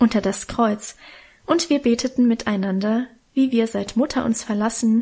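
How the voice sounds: The reading voice here sounds natural.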